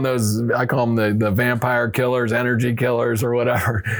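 A man with an American accent has an unremarkable speaking voice at a medium pitch and moderate pace. The recording is very clean, with a silent background. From US Midwest, St. Louis. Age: 50s. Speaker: recovering addict sharing faith testimony. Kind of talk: testimony.

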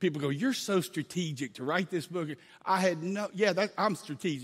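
An unremarkable speaking voice belongs to this man, who talks at a fairly quick pace with ordinary pitch variation. The recording is very clean, the background silent. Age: 50s. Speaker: guest pastor. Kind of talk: sermon.

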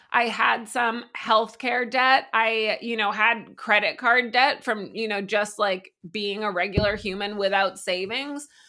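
In an American accent, a woman speaks with a bright, sharp tone at a fairly slow pace, fairly even intonation and hardly any pauses, on a very clean recording with a silent background. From Massachusetts, US. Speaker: winery co-founder. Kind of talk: casual interview. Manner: casual, filler-heavy.

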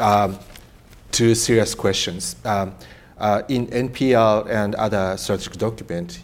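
The speaker has a Japanese accent. The delivery runs at a moderate pace. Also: man. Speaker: professor and moderator. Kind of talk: panel discussion moderation.

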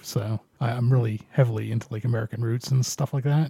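Fairly quick, monotone delivery with flat intonation, a dark, mellow tone, a somewhat breathy edge and a dry, close sound with no echo. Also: man. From Canada. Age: 40s. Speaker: radio show host. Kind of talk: casual chat.

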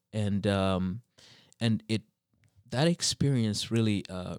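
A man's fairly low voice at a very slow pace, in a dry, close sound with no echo. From Zambia and eastern Canada (New Brunswick). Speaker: PhD student in theology. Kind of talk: casual interview about faith and theology. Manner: halting, many fillers.

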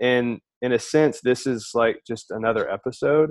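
In an American accent, a man speaks in an unremarkable speaking voice at a medium pitch with ordinary pitch variation. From Alabama, US South. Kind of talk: casual chat.

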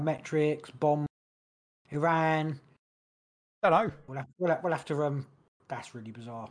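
Speaking at a fairly slow pace, a man leaves long, frequent pauses, his loudness swinging widely while his pitch varies in an ordinary way. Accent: London. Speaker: podcast co-host. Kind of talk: casual chat. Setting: home studio, livestream.

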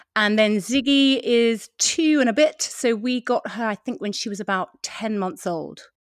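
Speaking at a fairly slow pace with hardly any pauses, a woman's fairly high voice comes across in a dry, close sound with no echo. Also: ordinary pitch variation, very clean recording, silent background. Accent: British. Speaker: podcast host, former TV presenter. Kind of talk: casual interview chat.

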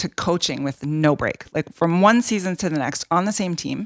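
Recorded dry and close with no echo, a woman with a western Canadian accent speaks at a fairly low pitch with ordinary pitch variation. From Canada, Edmonton. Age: 40s. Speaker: podcast co-host, hockey wife. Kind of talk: casual podcast chat.

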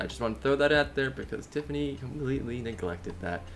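Lively intonation and vocal fry mark this man's voice. He talks at a fairly quick pace. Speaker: podcast co-host. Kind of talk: casual chat. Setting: video call.

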